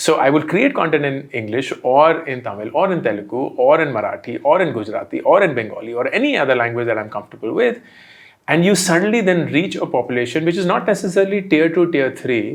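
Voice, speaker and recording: A man's fairly high voice with an Indian accent, vocal fry, very fast pace and very wide pitch swings. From India, Delhi. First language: Hindi. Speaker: entrepreneur and content creator. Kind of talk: interview.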